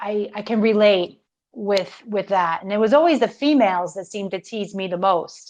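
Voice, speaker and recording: Speaking at a moderate pace, a woman has a medium pitch and ordinary pitch variation. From Florida, Italian-American family. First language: Italian. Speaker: podcast host. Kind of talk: interview. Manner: energetic, passionate.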